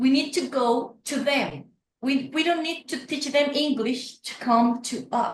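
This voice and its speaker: This woman's voice is high in pitch. She speaks with a Spanish accent. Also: fairly slow pace. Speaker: neuroscientist running outreach program. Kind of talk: interview conversation. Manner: animated.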